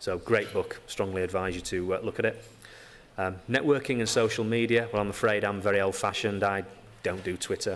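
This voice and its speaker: With fairly even intonation, a man with a fairly low pitch talks at a fairly quick pace. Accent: strong Yorkshire. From Yorkshire, northern England. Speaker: physiotherapist. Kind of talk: conference talk. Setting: stage with audience. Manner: hesitant with many fillers.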